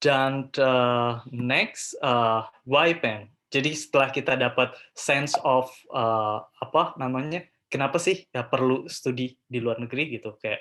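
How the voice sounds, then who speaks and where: A man speaks at a very slow pace with a medium pitch and a bright, sharp tone. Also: ordinary pitch variation. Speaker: scholarship and study-abroad speaker, postgraduate student. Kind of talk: webinar presentation. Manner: hesitant, many filler sounds; code-switching Indonesian and English.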